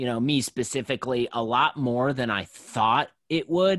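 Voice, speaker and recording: Recorded very cleanly with a silent background and a dry, close sound with no echo, a man in a plain, everyday voice speaks at a medium pitch with ordinary pitch variation and a moderate pace. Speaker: sports card collector and podcast host. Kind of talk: casual interview.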